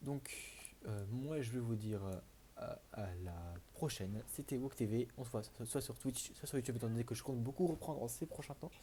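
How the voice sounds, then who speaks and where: Soft-spoken and somewhat breathy, a man talks at a moderate pace in a medium pitch with ordinary pitch variation and a dark, mellow tone. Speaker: gaming youtuber. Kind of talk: gameplay commentary. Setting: home recording at night. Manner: halting.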